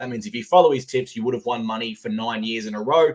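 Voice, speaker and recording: With an Australian accent, this man talks at a medium pitch. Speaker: sports betting podcast host. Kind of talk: casual sports chat. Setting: live stream.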